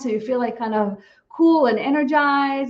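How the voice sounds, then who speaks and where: High-pitched female voice, its pitch moving in an ordinary way. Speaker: psychologist and channel. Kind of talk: casual interview.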